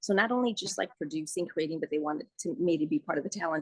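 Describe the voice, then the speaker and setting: Recorded dry and close with no echo, a woman with a Spanish accent speaks at a fairly low pitch with ordinary pitch variation. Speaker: radio producer and host. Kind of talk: interview. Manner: casual, many fillers.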